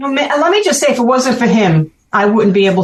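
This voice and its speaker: This woman has a Brooklyn accent. She speaks at a fairly quick pace. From Brooklyn, New York. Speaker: ham radio operator, event organizer. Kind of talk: casual interview chat.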